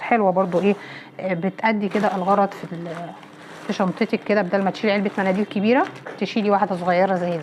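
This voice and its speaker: A woman with a medium pitch at a fairly quick pace, over noticeable background noise. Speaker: home vlogger. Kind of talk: shopping haul vlog. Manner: animated.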